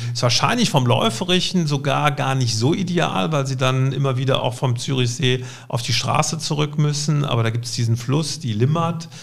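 In a room with audible echo, a man talks at a moderate pace with hardly any pauses. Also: medium pitch for a man, ordinary pitch variation. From Cologne, Germany. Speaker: insurance company executive. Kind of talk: interview.

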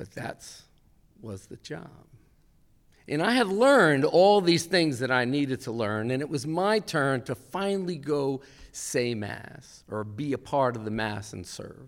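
A man with an American accent speaks at a fairly high pitch with very wide pitch swings and a fairly slow pace. The recording is very clean, with a silent background. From Westfield, New Jersey. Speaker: storyteller and songwriter. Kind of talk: live storytelling. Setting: stage with audience.

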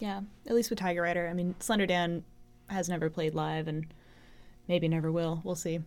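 Speaking with an American accent, a woman with a fairly low pitch moves at a fairly quick pace with fairly even intonation and long, frequent pauses. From Los Angeles area. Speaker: singer. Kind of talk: casual chat.

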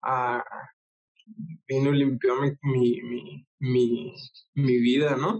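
Pausing long and often, a man speaks in a somewhat breathy, medium-pitched voice with ordinary pitch variation. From northern Mexico (Ciudad Juárez, Chihuahua). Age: 20s. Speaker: church program director. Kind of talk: casual interview.

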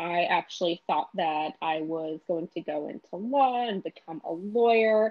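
In an ordinary speaking voice, a woman talks at a fairly slow pace with hardly any pauses, a fairly low pitch and lively intonation. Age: 20s. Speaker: life sciences recruiter. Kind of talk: casual interview.

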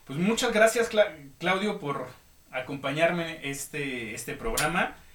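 A man's intonation rises and falls in a lively way while noticeable background noise sits behind him. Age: 30s. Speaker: podcast host, illustrator and designer. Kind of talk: casual chat. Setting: live online radio studio.

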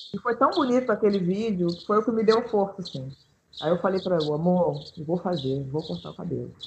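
A woman with an unremarkable speaking voice talks at a fairly quick pace, with medium pitch and lively intonation. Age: 30s. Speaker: pianist and composer. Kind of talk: casual chat.

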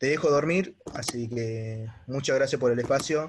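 This man's somewhat breathy voice keeps a fairly even intonation. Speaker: young investor caller. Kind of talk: casual conversation.

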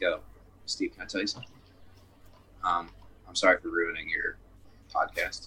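A man speaks at a moderate pace. Long, frequent pauses break up his speech. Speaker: podcast guest, band member. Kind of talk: casual chat. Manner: loud.

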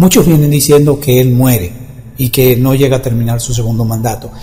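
The speaker uses ordinary pitch variation, with audible room echo and noticeable background noise in the recording. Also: man. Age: 50s. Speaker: spiritual healer and radio host. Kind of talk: monologue forecast talk show.

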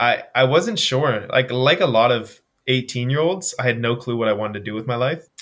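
A man with a Canadian Maritime accent, ordinary pitch variation and a fairly quick pace. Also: medium pitch for a man. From Canada, Nova Scotia. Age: 20s. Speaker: personal trainer and endurance athlete. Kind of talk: casual interview chat.

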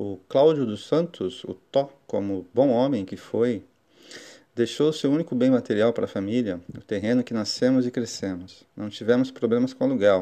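Against a quiet background, the voice has a dark, mellow tone, ordinary pitch variation and a moderate pace. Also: man, medium pitch for a man. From Brazil, Guarujá area (São Paulo coast). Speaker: podcast host. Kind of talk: personal storytelling monologue. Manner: warm, reflective.

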